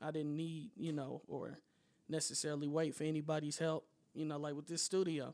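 Here a man talks at a fairly quick pace with a fairly high pitch. He has a plain, everyday voice. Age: 20s. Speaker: music producer and podcaster. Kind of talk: casual chat. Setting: studio.

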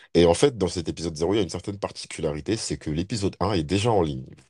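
A man talks at a fairly quick pace in a dark, mellow tone on a very clean recording with a silent background. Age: 20s. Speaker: podcast co-host. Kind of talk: casual chat.

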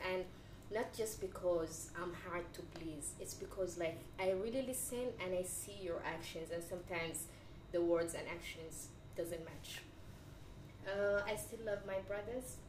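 Against noticeable background noise, a woman of medium pitch talks at a fairly slow pace. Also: ordinary pitch variation. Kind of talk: casual group discussion.

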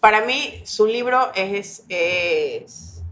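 A woman speaks with ordinary pitch variation. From Ecuador, Guayaquil. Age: 40s. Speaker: educational psychologist and actress. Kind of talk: casual chat.

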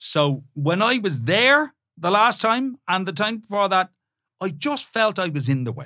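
Raised and projected, a man's high, bright, sharp voice moves at a fairly slow pace with very wide pitch swings, in a very clean recording with a silent background. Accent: Irish. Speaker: presenter, podcast co-host. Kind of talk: casual chat.

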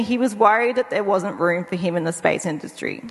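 With an Australian accent and lively intonation, a woman talks at a fairly quick pace over noticeable background noise. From Tasmania, Australia. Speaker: space researcher, anthropologist. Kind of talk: panel discussion.

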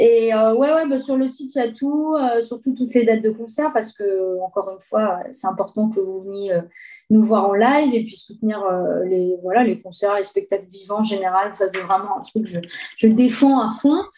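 A woman's fairly high voice at a moderate pace with ordinary pitch variation, a plain, everyday voice. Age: 30s. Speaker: guitarist and singer. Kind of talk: casual interview.

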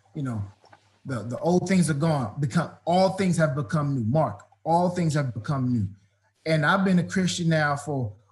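A man speaks at a moderate pace in a fairly high, somewhat breathy voice with lively intonation. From Washington, D.C. area, US. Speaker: football coach. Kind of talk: interview. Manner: animated.

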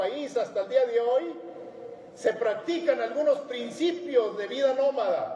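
A man's voice rises and falls in a lively way, with noticeable noise behind it. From Mexico, Sierra de Chihuahua. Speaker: motivational speaker. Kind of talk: motivational talk.

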